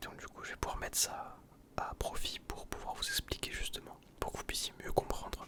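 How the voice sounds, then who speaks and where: Over noticeable background noise, a man whispers at a moderate pace. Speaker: ASMR youtuber. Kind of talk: ASMR whisper talk. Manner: whispering; hesitant.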